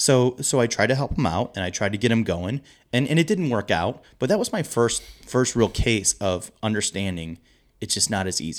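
In a very clean recording with a silent background, a man with an American accent and an ordinary speaking voice talks at a moderate pace in a medium pitch with lively intonation. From US Midwest, St. Louis area. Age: 30s. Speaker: pub owner. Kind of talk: casual interview.

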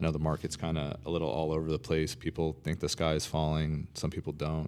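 The very clean recording, with a silent background, captures a man with a very deep, low pitch. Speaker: real estate agent and co-host. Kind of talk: casual podcast chat.

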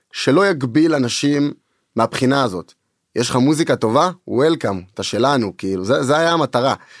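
An ordinary speaking voice with lively intonation at a moderate pace, dry and close with no echo, in a very clean recording over a silent background. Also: man, medium pitch for a man. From Israel, Tel Aviv. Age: 20s. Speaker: music producer and record label co-owner. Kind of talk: casual interview chat. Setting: studio.

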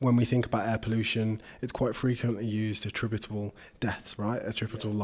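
A man with a plain, everyday voice, pitched in the medium range, talks at a fairly quick pace. The recording is very clean, with a silent background. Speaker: podcast host. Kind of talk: interview.

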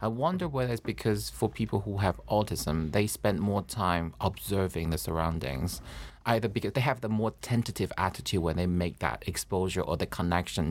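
A man's voice with vocal fry and lively intonation, moderate pace, hardly any pauses and very even loudness, on a very clean recording with a silent background. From Taiwan. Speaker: podcast host, comedian. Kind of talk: casual interview chat. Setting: in person.

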